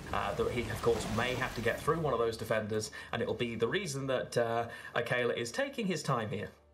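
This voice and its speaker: A man talks fairly quickly in a British accent. Audible room echo and noticeable background noise surround him. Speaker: esports caster. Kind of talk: live commentary.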